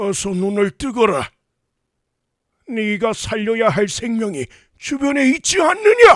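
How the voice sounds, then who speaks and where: A man puts on a character voice at a high pitch. He leaves long, frequent pauses. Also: fairly slow pace. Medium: audio drama. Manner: archaic, commanding speech.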